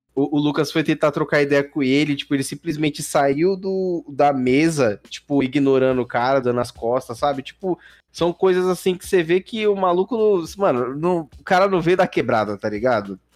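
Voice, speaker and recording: A man with a normal speaking voice talks at a fairly high pitch and a moderate pace. He takes hardly any pauses, and the sound is dry and close with no echo. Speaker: podcast host. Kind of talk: casual chat.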